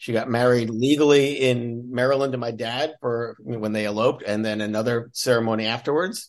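Using a normal speaking voice, a man talks at a medium pitch and a fairly quick pace. His intonation is fairly even, with hardly any pauses. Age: 60s. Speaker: memoir author's brother, former cult member. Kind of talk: casual interview conversation.

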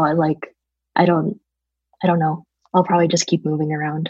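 The voice is somewhat breathy and keeps a moderate pace. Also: woman. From various European countries (Germany, London, Estonia, Italy, Poland). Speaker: environmentalist. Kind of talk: casual chat. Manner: frequent fillers and 'like'.

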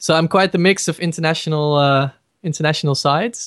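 Over a quiet background, the voice proceeds fairly slowly. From Netherlands. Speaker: singer. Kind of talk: interview.

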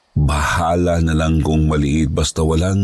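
A man delivers his lines in a dramatic tone. His pitch is very deep and low, and the sound is dry and close with no echo. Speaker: storyteller reading listener-submitted ghost stories. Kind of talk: ghost story telling, spooky first-person narration. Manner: hushed, slow, suspenseful, dramatic; earnest, polite.

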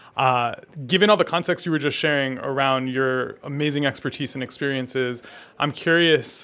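A man's ordinary speaking voice, fairly high in pitch, at a fairly quick pace with fairly even intonation, in a very clean recording with a silent background. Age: young. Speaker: podcast host. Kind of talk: interview. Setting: live event.

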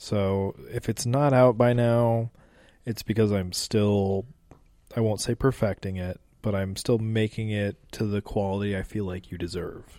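A man talks at a fairly slow pace with fairly low pitch and fairly even intonation in an ordinary speaking voice. The recording is very clean, with a silent background. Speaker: guest, YouTube creator. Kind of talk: casual chat. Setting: on location in an Irish pub. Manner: joking, playful.

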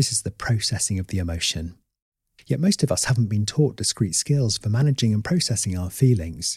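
In a southern English accent, a man talks at a fairly quick pace in a fairly low, somewhat breathy voice with lively intonation. The sound is dry and close, with no echo. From Oxford, southern England. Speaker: therapist. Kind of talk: podcast monologue.

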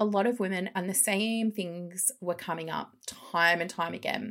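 Speaking at a fairly slow pace, a woman talks with an Australian accent. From Melbourne, western suburbs, Australia. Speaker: psychologist and coach. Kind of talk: casual interview.

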